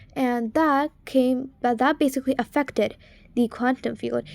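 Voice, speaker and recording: A woman's high voice at a moderate pace, dry and close with no echo, on a very clean recording with a silent background. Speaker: video creator. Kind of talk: unscripted explainer monologue. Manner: halting, with pauses and stumbles.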